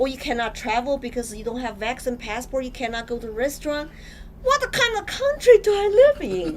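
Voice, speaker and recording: High-pitched, a woman's voice makes very wide pitch swings and big swings in loudness over noticeable background noise. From China. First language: Chinese. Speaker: political candidate. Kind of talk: interview. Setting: studio.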